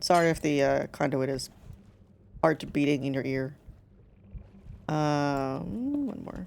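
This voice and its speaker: A woman is mumbling. Her pace is moderate. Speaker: gaming streamer. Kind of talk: casual chat while gaming. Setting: live stream.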